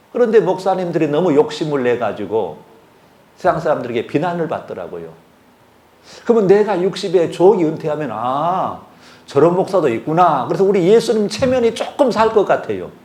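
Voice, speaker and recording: Amid audible room echo, a man with a high voice speaks at a moderate pace, his pitch making very wide swings. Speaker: retired pastor, guest preacher. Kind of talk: sermon. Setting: church service with congregation.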